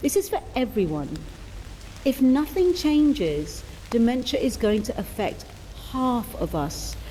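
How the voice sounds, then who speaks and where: Over noticeable background noise, a woman with a British accent speaks slowly-ish at a fairly slow pace, her fairly high pitch making very wide swings. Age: 60s. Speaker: charity fundraiser walker and podcast host. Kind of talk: scripted narration.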